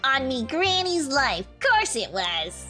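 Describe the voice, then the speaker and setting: A put-on character voice, female-sounding, speaks at a fairly slow pace. Clear music fills the background. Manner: protesting.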